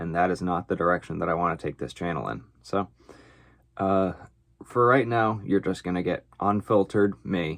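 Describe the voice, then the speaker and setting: A man speaks at a moderate pace in a very deep, low pitch with ordinary pitch variation. The background is quiet. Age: 20s. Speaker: woodworker and swim coach. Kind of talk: casual vlog monologue. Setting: basement boiler room workshop. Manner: unscripted, many filler words.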